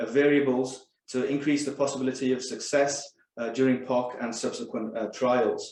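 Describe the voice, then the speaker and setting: In a Welsh accent, a man speaks at a moderate pace and medium pitch. His intonation stays monotone and flat. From Wales. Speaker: pharmaceutical scientist. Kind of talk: corporate presentation.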